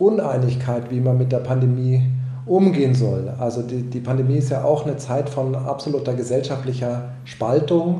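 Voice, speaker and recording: Speech moves at a moderate pace with fairly even intonation. Audible room echo and noticeable background noise are present. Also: man. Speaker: film, opera and theatre director. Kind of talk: radio interview. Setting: pre-recorded radio interview. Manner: hesitant, with filler sounds.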